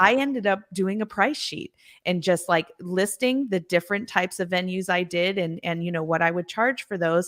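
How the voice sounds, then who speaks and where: A woman with a plain, everyday voice speaks at a moderate pace and medium pitch with ordinary pitch variation. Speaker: singer and vocal coach. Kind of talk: interview answer. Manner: casual, conversational.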